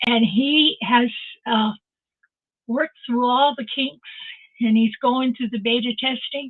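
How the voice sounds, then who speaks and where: A woman speaks at a fairly slow pace. Her voice sits high in pitch. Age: 80s+. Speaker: online live-stream host. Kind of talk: casual live-stream chat. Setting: live stream via video call. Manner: animated.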